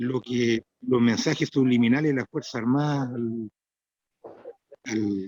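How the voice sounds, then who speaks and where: A man's dark, mellow tone in a dry, close sound with no echo. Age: 60s. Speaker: interviewer. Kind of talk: interview.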